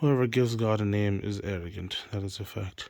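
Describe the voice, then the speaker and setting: A man's medium-pitched voice with an American accent, fairly even intonation and a moderate pace, an unremarkable speaking voice. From Tonga and US. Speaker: fantasy author. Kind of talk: casual monologue presenting own fantasy novel. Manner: rambling with fillers and self-corrections.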